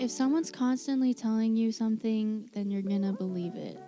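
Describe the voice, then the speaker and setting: With music in the background, a woman talks at a fairly high pitch with ordinary pitch variation. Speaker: spirituality and self-help vlogger. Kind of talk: casual talk to camera. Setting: poor-quality home mic recording.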